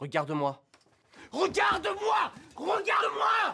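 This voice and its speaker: In a put-on character voice, a man shouts at a fairly slow pace with a raspy sound. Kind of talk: film scene acting. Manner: aggressive, contemptuous.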